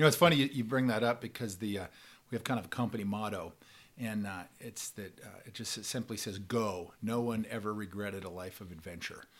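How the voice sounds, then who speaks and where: A man speaks in a plain, everyday voice with an American accent, a fairly low pitch and ordinary pitch variation. His pace is fairly quick and his loudness swings widely in a very clean recording with a silent background. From Oregon, US West. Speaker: fly fishing travel company founder. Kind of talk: casual interview. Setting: office.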